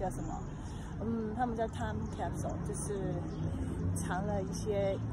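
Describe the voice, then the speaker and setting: A woman speaks over loud background noise, her voice dry with no echo. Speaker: local guide vlogger. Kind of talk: casual vlog chat. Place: street. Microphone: phone near.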